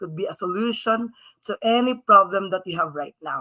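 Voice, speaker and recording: Her pace moderate and her pitch medium, a woman talks in a normal speaking voice. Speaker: live stream host. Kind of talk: live stream introduction.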